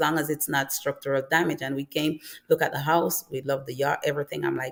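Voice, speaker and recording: A woman at a fairly quick pace. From Jamaica. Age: 40s. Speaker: YouTuber, early retiree. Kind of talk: live stream panel chat.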